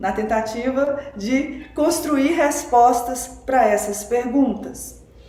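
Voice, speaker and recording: With noticeable background noise and audible room echo, a woman with a high pitch and ordinary pitch variation speaks at a very slow pace. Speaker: spiritual teacher and researcher of religion. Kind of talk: podcast interview, explanatory talk. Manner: deliberately slowing down.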